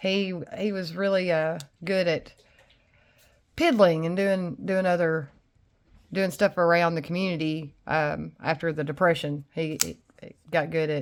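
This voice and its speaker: Someone with a Tennessee accent speaks at a fairly slow pace with long, frequent pauses in a very clean recording with a silent background. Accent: Southern US (Tennessee). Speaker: knife reviewer. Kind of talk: casual chat.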